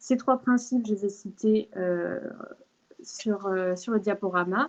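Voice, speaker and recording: A woman's medium pitch with ordinary pitch variation, at a very slow pace. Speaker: law speaker giving a talk. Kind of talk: online lecture with slides. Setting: video call. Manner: hesitant, many fillers.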